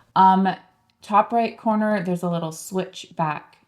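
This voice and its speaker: Here is a woman with an unremarkable speaking voice at a medium pitch. She talks at a fairly slow pace with ordinary pitch variation. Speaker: online publishing coach. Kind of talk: screen-share tutorial. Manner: casual, with frequent fillers.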